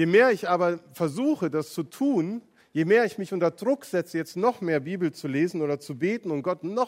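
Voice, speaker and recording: In a dry, close recording with no echo, a man with a high voice uses lively intonation at a moderate pace. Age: 40s. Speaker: pastor. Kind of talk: sermon.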